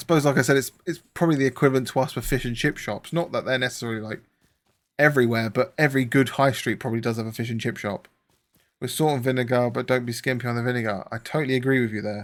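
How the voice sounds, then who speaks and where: At a very fast pace, a man with a southern English accent speaks at medium pitch with fairly even intonation on a very clean recording with a silent background. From southern England. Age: 30s. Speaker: gaming streamer. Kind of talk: casual live-stream chat while gaming.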